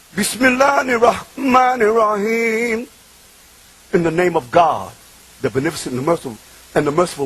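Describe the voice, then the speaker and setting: A man's high voice with lively intonation at a fairly quick pace, over noticeable background noise. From Bronx, New York, Puerto Rican family. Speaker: preacher. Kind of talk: religious talk. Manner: animated.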